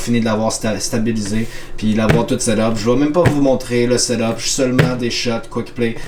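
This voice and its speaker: A man with a Quebec accent, fairly quick and fairly even in intonation, with audible room echo and noticeable background noise. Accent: Québécois French. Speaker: vlogger, amateur filmmaker. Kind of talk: casual vlog. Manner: hesitant, many fillers.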